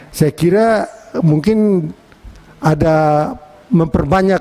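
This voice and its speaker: The speaker has a strong East Nusa Tenggara accent and ordinary pitch variation, heard over noticeable background noise. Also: man. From East Nusa Tenggara, Indonesia (Atambua, Timor). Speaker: member of parliament. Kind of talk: parliamentary hearing speech. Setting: committee meeting room. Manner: firm and direct.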